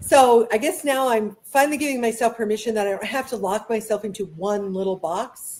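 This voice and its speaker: A woman talks at a fairly quick pace with hardly any pauses. Her fairly high voice shows ordinary pitch variation. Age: 60s. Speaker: author and education advocate. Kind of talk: casual chat. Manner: halting.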